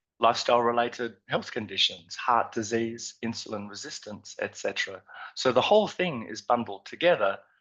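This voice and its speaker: Speaking with an Australian accent, a man of medium pitch shows big swings in loudness. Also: ordinary pitch variation, fairly quick pace. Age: 50s. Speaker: nutrition scientist. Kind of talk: conference presentation. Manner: halting, many fillers.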